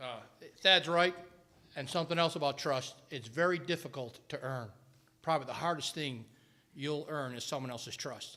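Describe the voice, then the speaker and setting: A man with a New York accent has a bright, sharp tone. He leaves long, frequent pauses. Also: fairly high pitch for a man, ordinary pitch variation. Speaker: retired Air Force pilot and parent. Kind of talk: retreat talk to students. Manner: fast.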